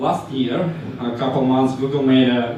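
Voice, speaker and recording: A man talks with fairly even intonation amid noticeable background noise and audible room echo. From Ukraine. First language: Ukrainian or Russian. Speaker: analytics specialist presenter. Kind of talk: conference talk. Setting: meetup stage with audience. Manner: halting, many fillers.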